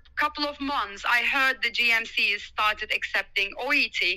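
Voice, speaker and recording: A woman with a Turkish accent uses a raised, projected voice, high in pitch with a bright, sharp tone. Her pace is fairly slow. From Turkey. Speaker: doctor. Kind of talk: interview, conversational.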